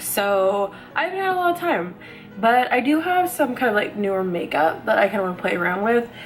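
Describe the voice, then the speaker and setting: A woman's fairly high, fairly quick voice with very wide pitch swings, music playing in the background. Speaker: beauty vlogger. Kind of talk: casual talk to camera. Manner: rambling, chatty.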